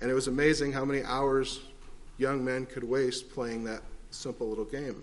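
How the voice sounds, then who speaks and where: Moderate-paced, monotone male speech with flat intonation and audible room echo. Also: medium pitch for a man. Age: 40s. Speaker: preacher. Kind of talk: sermon.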